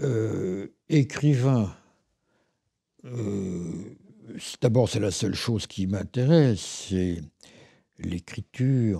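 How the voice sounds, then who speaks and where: A dark, mellow tone at a very slow pace, with ordinary pitch variation, on a very clean recording with a silent background. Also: man. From Paris, France. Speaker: writer and philosopher. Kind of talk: interview answer.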